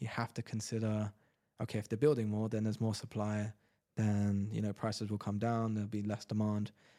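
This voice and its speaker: In a London accent, a man talks at a fairly quick pace with a fairly low pitch and a dark, mellow tone. The recording is very clean, with a silent background. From London, England. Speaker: real estate agent. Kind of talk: interview.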